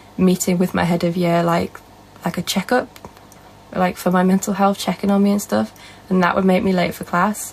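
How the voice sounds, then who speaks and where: A soft-spoken woman with a medium-pitched voice. Noticeable background noise can be heard. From northern England. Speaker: live streamer. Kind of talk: casual chat.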